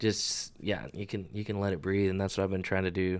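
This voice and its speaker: The speaker talks at a very fast pace with an American accent and fairly even intonation. The recording is very clean, with a silent background. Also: man. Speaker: musician. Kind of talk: casual chat.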